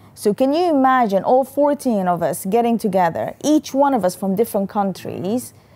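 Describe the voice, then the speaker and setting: A woman with a non-native accent, a dark, mellow tone and lively intonation, at a moderate pace. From Sudan. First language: not English. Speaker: company founder and CEO. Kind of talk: interview.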